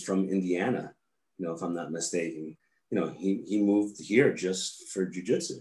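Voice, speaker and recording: This man speaks in a New York accent at a moderate pace. His fairly low voice has a dark, mellow tone. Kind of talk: casual interview chat.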